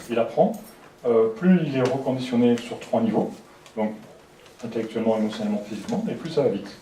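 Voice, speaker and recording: Speaking softly at a fairly quick pace with long, frequent pauses, a man with a medium pitch is heard over noticeable background noise and audible room echo. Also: ordinary pitch variation. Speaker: lecturer. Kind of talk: lecture. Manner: fast; soft-spoken.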